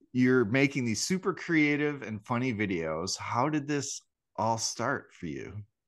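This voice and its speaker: Against a quiet background, a man talks at a fairly slow pace with a medium pitch and lively intonation. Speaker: podcast co-host. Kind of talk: casual chat. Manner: deliberately slowed intro cadence.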